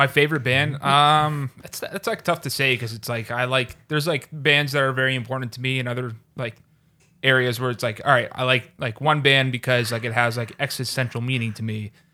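This man has a plain, everyday voice with an American accent, a medium pitch and fairly even intonation. He talks at a fairly quick pace over a very clean recording with a silent background. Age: 20s. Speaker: comedian. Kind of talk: casual chat.

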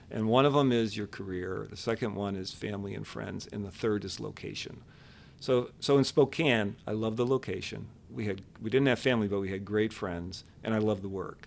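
A man with a fairly low voice speaks at a moderate pace, with ordinary pitch variation. It is a normal speaking voice, and his loudness swings widely. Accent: American. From Buffalo, New York. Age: 50s. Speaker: downtown business district leader. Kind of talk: interview.

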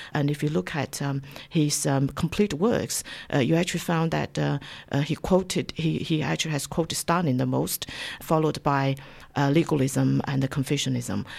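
A woman's very deep, low voice with vocal fry and ordinary pitch variation, in a Chinese accent. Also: moderate pace. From China. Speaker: university lecturer. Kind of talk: radio interview. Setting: studio. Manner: halting, many fillers.

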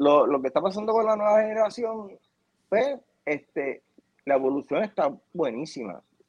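The speaker is a man. His voice comes across close and dry, without echo. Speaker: TV video producer. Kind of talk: interview.

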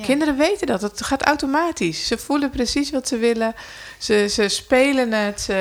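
Amid noticeable background noise, a woman talks at a high pitch with lively intonation. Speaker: podcast co-host. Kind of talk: casual chat.

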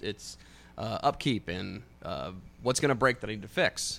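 The man's voice carries vocal fry and moves at a moderate pace. It is a very clean recording with a silent background. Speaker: car enthusiast guest. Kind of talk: casual chat.

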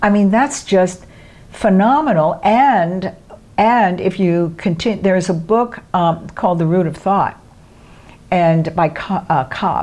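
A woman's plain, everyday voice, medium in pitch, with an American accent, ordinary pitch variation and a fairly slow pace. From New York City, Brooklyn. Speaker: movement teacher. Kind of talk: interview.

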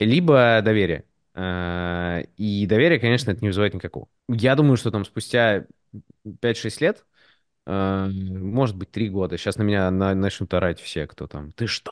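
A man talks in a plain, everyday voice at a fairly low pitch. His pace is fairly slow, and the sound is dry and close with no echo. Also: ordinary pitch variation, quiet background. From Moscow, Russia, partly raised in the US. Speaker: designer and 3D artist. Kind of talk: casual podcast conversation.

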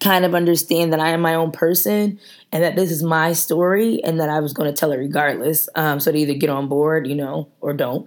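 A woman with an ordinary speaking voice talks at a fairly low pitch and a fairly quick pace. Her pitch varies normally, and the recording is very clean with a silent background. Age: 20s. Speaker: podcast host and author. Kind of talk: casual solo podcast talk.

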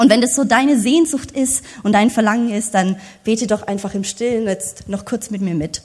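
A somewhat breathy voice at a moderate pace with ordinary pitch variation. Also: woman, fairly high pitch for a woman. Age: 30s. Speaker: preacher. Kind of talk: sermon.

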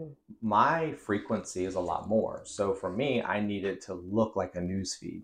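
At a moderate pace, a man with a fairly low pitch talks in a normal speaking voice with lively intonation. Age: 30s. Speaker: local news newsletter founder. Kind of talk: casual interview. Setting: in-person studio.

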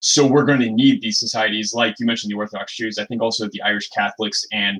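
This man has an ordinary speaking voice, pitched fairly low. His intonation stays fairly even. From US Midwest, Michigan. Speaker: podcast co-host. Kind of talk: casual chat.

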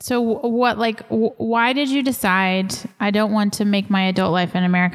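A woman speaks in an unremarkable speaking voice. Her pace is moderate, with ordinary pitch variation. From Texas. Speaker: podcast host, missionary pastor. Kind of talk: casual interview conversation. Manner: uses many filler words.

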